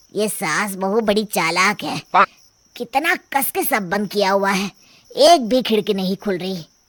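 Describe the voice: A woman uses a cartoonish character voice. Its pitch sits in the medium range for a woman. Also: moderate pace, ordinary pitch variation.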